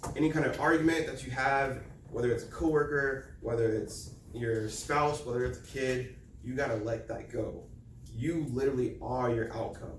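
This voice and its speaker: A man talks with fairly even intonation, and the recording carries audible room echo along with noticeable background noise. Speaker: motivational speaker. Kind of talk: presentation. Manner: loud.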